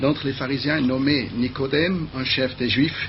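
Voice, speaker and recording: Audible room echo and noticeable background noise surround a man's medium-pitched voice. He speaks at a moderate pace with ordinary pitch variation. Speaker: preacher. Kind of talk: sermon. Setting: TV studio. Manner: halting.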